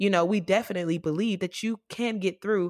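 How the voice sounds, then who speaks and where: A woman with an American accent speaks at a moderate pace and medium pitch in an animated tone with ordinary pitch variation, the sound dry and close with no echo on a very clean recording with a silent background. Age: 20s. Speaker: podcast host. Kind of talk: casual chat.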